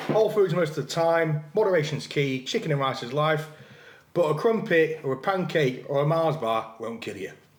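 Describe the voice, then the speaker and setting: Here a man speaks with an English accent at a moderate pace. His fairly high pitch carries lively intonation. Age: 30s. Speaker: fitness influencer. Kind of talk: casual chat. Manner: mouth full.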